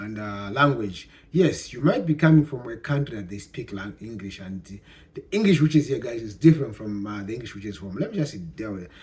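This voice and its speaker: A man speaks at a moderate pace in a medium, somewhat breathy voice. His intonation is lively and his loudness swings widely. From Zambia. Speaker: YouTuber giving immigration advice. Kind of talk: casual vlog talk. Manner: halting, many fillers and repeats.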